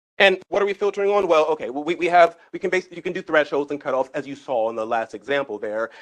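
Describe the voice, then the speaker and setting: Very fast pacing and lively intonation mark this man's speech. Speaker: genomics software trainer. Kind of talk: technical workshop lecture. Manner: halting, many repeated words.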